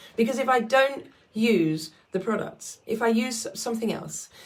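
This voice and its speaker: Somewhat breathy, a woman speaks with a fairly high pitch and ordinary pitch variation. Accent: British. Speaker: skincare consultant selling products. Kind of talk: sales pitch video.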